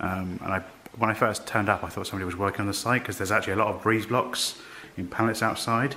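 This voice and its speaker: A man talks at a very fast pace with fairly even intonation. Light background noise sits behind him. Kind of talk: casual vlog chat. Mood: curious, slightly spooked. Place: empty room. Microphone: phone near.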